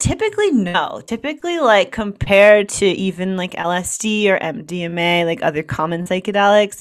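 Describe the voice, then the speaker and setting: In a very clean recording with a silent background, a plain, everyday voice speaks with an American accent at a moderate pace and with ordinary pitch variation. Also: woman. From New York / New Jersey area. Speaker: journalist and author. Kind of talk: interview.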